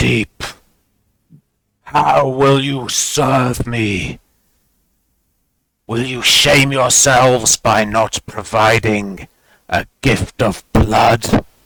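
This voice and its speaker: A man puts on a booming, raspy character voice at medium pitch. He speaks at a very slow pace. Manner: imperious, demanding.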